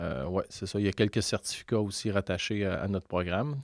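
A man's fairly low voice at a moderate pace, with fairly even intonation and a quiet background. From Quebec, Lanaudière (near Joliette). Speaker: university professor and researcher. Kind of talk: interview. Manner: halting, many repetitions.

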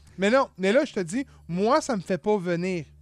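In a dry, close sound with no echo, a man with a high pitch talks at a moderate pace using very wide pitch swings. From Quebec, Montreal area. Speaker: podcast host. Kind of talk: casual chat.

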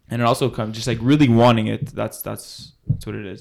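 Monotone, flat intonation from a man at a fairly quick pace. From Laval, Quebec. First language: English (speaking French). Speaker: university football player. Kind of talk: casual interview.

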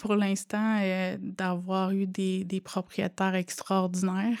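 Recorded very cleanly against a silent background, a woman speaks at a fairly slow pace with a dry, close sound and no echo. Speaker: student and mother. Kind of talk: testimony.

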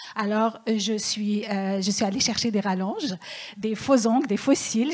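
With noticeable background noise, a woman at a fairly high pitch talks at a fairly slow pace with ordinary pitch variation. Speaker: stand-up comedian. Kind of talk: stand-up.

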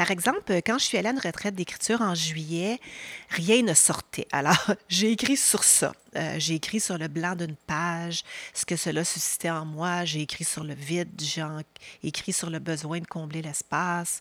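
A woman speaks in an ordinary speaking voice at a fairly slow pace. Her pitch is fairly low, with ordinary variation. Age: 50s. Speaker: podcast host and leadership coach. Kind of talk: newsletter-style podcast monologue. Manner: warm, calm.

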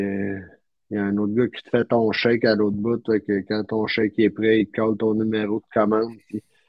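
A man's fairly low, monotone voice with flat intonation, in a Quebec accent, at a moderate pace. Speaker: podcast guest recounting a trip. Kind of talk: casual chat.

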